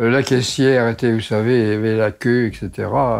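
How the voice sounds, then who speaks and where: Over music in the background, a man speaks at a moderate pace and medium pitch with monotone, flat intonation. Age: 80s+. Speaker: doctor. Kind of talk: interview storytelling.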